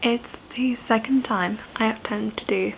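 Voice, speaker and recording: A woman with a fairly high pitch over noticeable background noise. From Italy. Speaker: journalist and producer. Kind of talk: casual vlog talk to camera.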